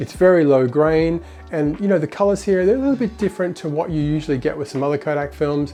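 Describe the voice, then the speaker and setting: Over music in the background, a man with a fairly high pitch talks very fast with ordinary pitch variation. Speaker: film photography youtuber. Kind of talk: casual talk to camera.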